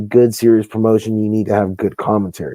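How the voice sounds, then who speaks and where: A man speaks quietly in a dark, mellow tone. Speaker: wrestling promoter. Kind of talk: casual podcast interview. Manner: speaking low, quiet; candid, heated.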